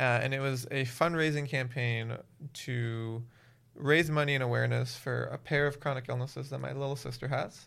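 With an American accent, a man uses a plain, everyday voice at a medium pitch, speaking at a moderate pace with fairly even intonation. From Miami, Florida. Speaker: nonprofit founder. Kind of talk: casual interview.

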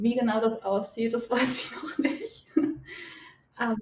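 Over noticeable background noise, a woman speaks at a very slow pace in a fairly high pitch with fairly even intonation. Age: 20s. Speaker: psychologist and pilgrim. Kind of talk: podcast interview.

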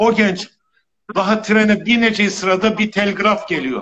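This man's voice is loud and high in pitch. He keeps a moderate pace with ordinary pitch variation. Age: 60s. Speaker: lawyer. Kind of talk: interview. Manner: speaks loudly. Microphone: too quiet, weak audio.

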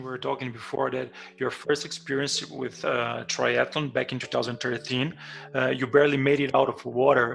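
Moderate-paced speech in a Portuguese accent amid noticeable background noise. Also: man. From Brazil. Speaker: podcast host. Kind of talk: interview. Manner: halting.

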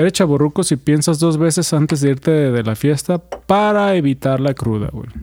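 Man at a moderate pace, fairly high pitch, dark, mellow tone and big swings in loudness. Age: 30s. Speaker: podcast co-host. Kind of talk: casual chat.

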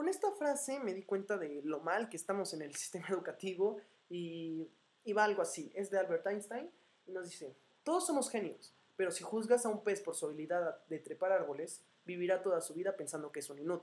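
A woman's medium-pitched voice at a fairly quick pace, with lively intonation and an animated tone. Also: big swings in loudness. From Mexico, Morelia, Michoacán. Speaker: podcaster. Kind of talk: casual monologue. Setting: home recording, unscripted in front of mic.

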